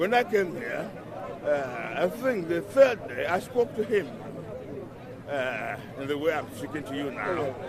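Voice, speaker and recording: A man with a fairly high pitch speaks at a fairly slow pace, with very wide pitch swings and long, frequent pauses. Noticeable background noise and audible room echo fill the recording. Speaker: street preacher. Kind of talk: street interview. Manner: loud.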